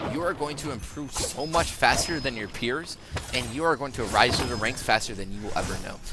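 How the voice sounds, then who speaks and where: Noticeable background noise mixes with audible room echo throughout this clip. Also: man, medium pitch for a man, ordinary pitch variation, fairly quick pace. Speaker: gaming tutorial creator. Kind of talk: tutorial.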